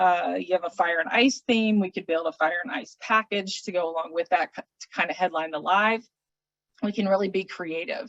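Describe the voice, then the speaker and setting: An ordinary speaking voice at a moderate pace with ordinary pitch variation. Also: woman, medium pitch for a woman. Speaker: travel specialist for an auction services company, hospitality professional. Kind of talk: business presentation / explanatory talk. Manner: casual, conversational, with filler words.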